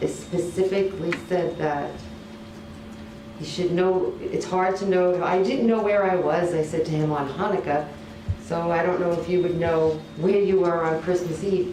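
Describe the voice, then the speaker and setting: Over noticeable background noise and audible room echo, a woman with a fairly low voice speaks at a fairly slow pace with fairly even intonation. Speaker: trial witness. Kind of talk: court testimony. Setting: courtroom. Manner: mumbling, halting.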